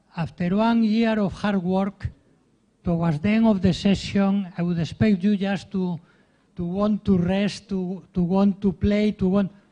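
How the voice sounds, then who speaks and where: A man speaks with a strong Spanish accent. His voice is high, with a dark, mellow tone. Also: fairly even intonation, fairly slow pace. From Spain. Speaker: professor of ethics. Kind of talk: speech at a ceremony. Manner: halting, with repeated fillers.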